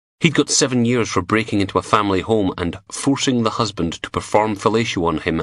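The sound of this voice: This is an unforced reading voice. It is heard reading a passage.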